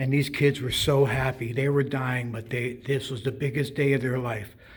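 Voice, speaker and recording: Noticeable background noise sits behind this man's voice. He has a medium pitch and a moderate pace. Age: 70s. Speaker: retired stagehand telling a story. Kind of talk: personal storytelling monologue. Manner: conversational with hesitations.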